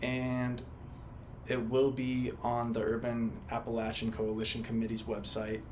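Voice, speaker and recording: The man speaks at a medium pitch with monotone, flat intonation. Audible room echo and noticeable background noise surround his voice. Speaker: student interviewer. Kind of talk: interview.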